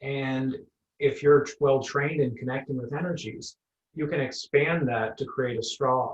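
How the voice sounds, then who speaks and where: A man talks with a slight Nova Scotian accent at a fairly high pitch. His voice is somewhat breathy, with fairly even intonation. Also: moderate pace. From Nova Scotia, Cape Breton (Sydney). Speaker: energy healer. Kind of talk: interview.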